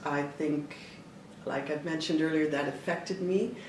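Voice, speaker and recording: With noticeable background noise and audible room echo, a woman with a Canadian accent speaks at a fairly low pitch. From Toronto, Canada, Italian immigrant family. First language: Italian. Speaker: dancer and choreographer. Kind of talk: interview. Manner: animated, gesturing with hands; halting with fillers.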